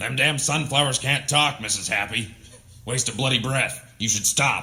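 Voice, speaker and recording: In a raspy, put-on character voice of medium pitch, a man talks at a moderate pace. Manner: grumpy, cursing.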